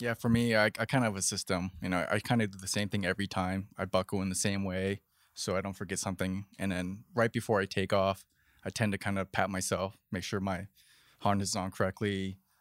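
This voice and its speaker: In a very clean, dry, close recording with a silent background and no echo, a man speaks at a fairly quick pace in a fairly low pitch with monotone, flat intonation. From Taiwan. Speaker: paragliding competition pilot. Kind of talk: casual chat. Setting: outdoors.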